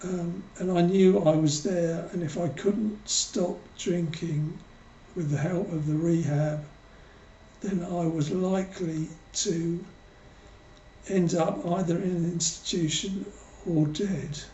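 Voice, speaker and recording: A man's high voice in an English accent, very slow, with long, frequent pauses, fairly even intonation and audible room echo. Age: 60s. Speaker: author. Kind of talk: personal testimony. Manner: hesitant, many fillers.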